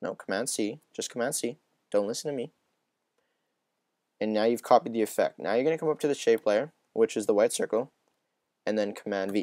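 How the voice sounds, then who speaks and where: The voice has a dark, mellow tone, a fairly quick pace and ordinary pitch variation, with long, frequent pauses. The recording is very clean, dry and close, with a silent background and no echo. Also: man, medium pitch for a man. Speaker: video editing tutorial maker. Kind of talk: tutorial. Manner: fast.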